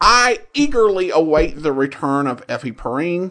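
A man's raised, projected voice, high-pitched and bright and sharp, with very wide pitch swings at a fairly slow pace. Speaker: podcast host. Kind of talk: podcast intro and commentary.

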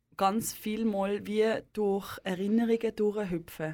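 The woman's medium-pitched voice is monotone and flat, fairly slow, on a very clean recording with a silent background. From Basel, Switzerland. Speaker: radio host. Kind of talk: radio interview.

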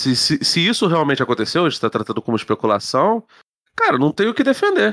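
A man speaks with a fairly high pitch and very wide pitch swings. The sound is dry and close, with no echo. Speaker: podcast co-host. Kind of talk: casual chat.

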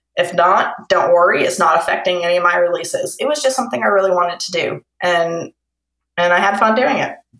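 Fairly quick delivery in a Kentucky accent. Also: woman. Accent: Kentucky Southern US. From Kentucky, Lexington. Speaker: romance novelist. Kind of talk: casual interview. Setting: phone call.

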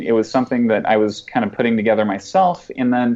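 At a medium pitch with ordinary variation, a man talks in an unremarkable speaking voice. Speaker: web agency founder and developer. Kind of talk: casual chat.

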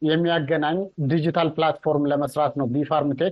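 A man with a plain, everyday voice, fairly high in pitch, with fairly even intonation. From Ethiopia, North Shewa. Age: young. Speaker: agritech entrepreneur. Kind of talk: interview.

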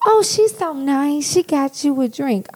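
A man's put-on character voice at an extremely high pitch, delivered at a moderate pace. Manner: condescending, sugary.

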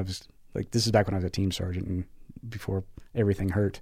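Over a silent background in a very clean recording, a man with an American accent and a fairly low pitch speaks at a very fast pace. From US Pacific Northwest. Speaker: military veteran and corporate giving manager. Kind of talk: casual chat.

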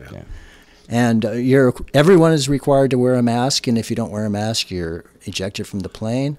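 With a plain, everyday voice, a man talks at a moderate pace and medium pitch, with ordinary pitch variation and big swings in loudness, on a very clean recording with a silent background. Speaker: bassist. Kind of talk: casual interview chat.

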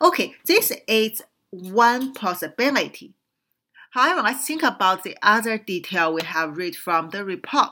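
Speaking fairly slowly with a Chinese accent, a woman uses a fairly high pitch, a bright, sharp tone and very wide pitch swings, on a very clean recording with a silent background. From China. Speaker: radio show host, whistleblower commentator. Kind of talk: political commentary monologue. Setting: radio studio. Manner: hesitant, many fillers.

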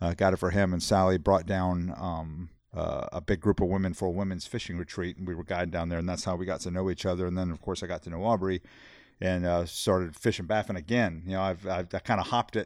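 A man's very deep, low voice with a South Texas accent, flat monotone intonation and a very fast pace, over a quiet background. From Texas, Corpus Christi. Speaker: angler. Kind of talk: casual chat.

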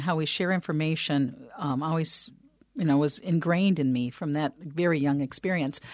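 A woman with an Upper Midwest accent talks at a fairly quick pace in a very deep, low pitch with ordinary pitch variation, the sound dry and close with no echo. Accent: Upper Midwest American. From US Midwest. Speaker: business developer and radio host. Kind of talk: interview. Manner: talkative, tends to ramble.

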